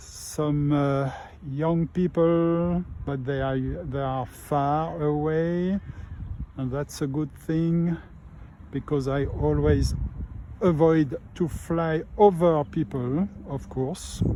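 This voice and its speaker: Very slow speech in a French accent. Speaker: RC model pilot. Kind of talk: live commentary. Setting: outdoors. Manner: halting.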